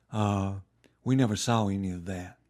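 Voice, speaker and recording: A man speaks with an Alabama accent and fairly even intonation. The recording is very clean, with a silent background. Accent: Southern US (Alabama). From US South, Montgomery, Alabama. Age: 70s. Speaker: retired lawyer. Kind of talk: oral history interview. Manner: hesitant, many fillers.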